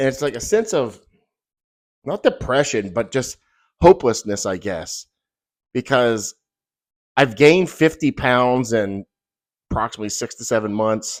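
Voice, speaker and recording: In a dry, close sound with no echo, a man of medium pitch talks at a moderate pace with lively intonation and long, frequent pauses. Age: 50s. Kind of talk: casual talk to camera. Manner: halting, rambling.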